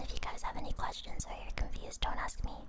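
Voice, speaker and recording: Someone whispers at a fairly quick pace amid noticeable background noise. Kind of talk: ASMR trivia stream, casual talk to viewers. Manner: whispered.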